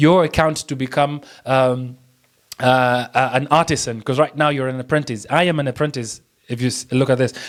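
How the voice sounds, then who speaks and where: A man speaks with a Kenyan accent. His pace is fairly quick. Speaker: print on demand tutor. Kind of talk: screen-share tutorial. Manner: fast; halting, many fillers and restarts.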